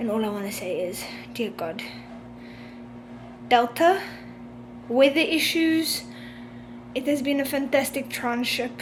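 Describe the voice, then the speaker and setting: With a high pitch and lively intonation, a woman speaks at a fairly slow pace with long, frequent pauses. Noticeable background noise and audible room echo are present. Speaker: cruise ship crew member vlogger. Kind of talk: vlog.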